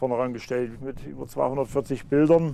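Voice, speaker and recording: A man speaks at a fairly quick clip in a medium pitch with a dark, mellow tone. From Upper Franconia, Lauenstein/Ludwigsstadt area near Thuringian border. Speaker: local historian, author. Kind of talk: interview. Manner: halting.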